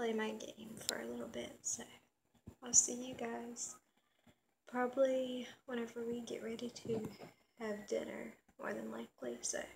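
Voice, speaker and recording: At a fairly slow pace, a woman talks with long, frequent pauses over noticeable background noise. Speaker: vlogger. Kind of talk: casual vlog chat. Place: home room. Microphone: phone near.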